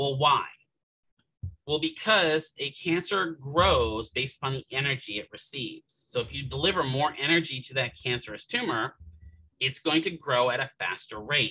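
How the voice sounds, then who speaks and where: At a moderate pace, a man talks over light background noise. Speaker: physical therapy instructor; instructor. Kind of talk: lecture. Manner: casual, conversational. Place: home room.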